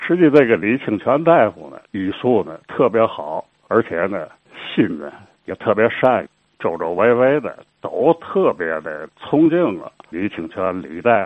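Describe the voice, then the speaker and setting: A man with a Tianjin accent, fairly slow in pace, with big swings in loudness and very wide pitch swings. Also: medium pitch for a man. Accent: Tianjin Mandarin. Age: 70s. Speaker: local history storyteller. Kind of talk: oral history storytelling.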